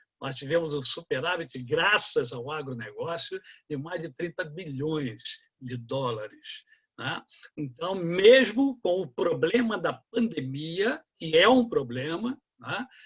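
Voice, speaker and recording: Speaking at a very slow pace, a man uses a high pitch with very wide pitch swings and big swings in loudness. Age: 60s. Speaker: economics professor. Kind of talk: lecture.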